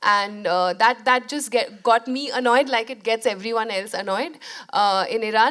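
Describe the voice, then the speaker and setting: A woman speaks with a Bengali accent. Her tone is bright and sharp, and her pace fairly slow. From India. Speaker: documentary filmmaker. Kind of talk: interview conversation. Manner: hesitant, many fillers.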